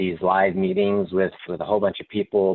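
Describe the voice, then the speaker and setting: With a Texas accent, a man speaks at a very deep, low pitch. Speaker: company manager. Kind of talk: panel discussion.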